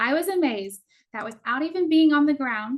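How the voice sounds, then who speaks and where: Lively intonation runs through a woman's speech at a moderate rate. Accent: Texan. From Texas. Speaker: cruise tour director. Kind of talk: travel presentation. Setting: online virtual event.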